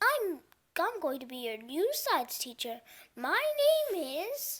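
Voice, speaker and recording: In a put-on character voice, the speaker swings very widely in pitch. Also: woman, extremely high pitch for a woman, fairly slow pace. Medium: read story. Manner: fussy, flustered.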